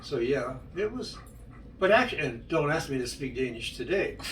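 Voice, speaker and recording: A man talks at a fairly quick pace with lively intonation, amid noticeable background noise and audible room echo. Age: 80s+. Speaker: interviewee recounting his life. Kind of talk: life story interview. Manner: halting.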